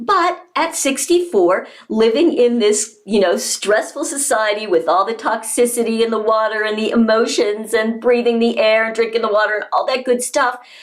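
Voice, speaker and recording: A woman's fairly high voice at a moderate pace with hardly any pauses and ordinary pitch variation, against noticeable background noise. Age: 60s. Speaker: health coach and product distributor. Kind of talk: product testimonial. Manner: animated.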